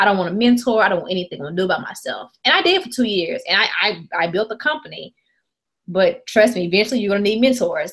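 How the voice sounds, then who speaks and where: A woman with a Mississippi accent talks at a very fast pace. Her fairly high voice has lively intonation. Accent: Southern US (Mississippi). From US South, rural Mississippi. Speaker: app company founder. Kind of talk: interview. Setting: video call.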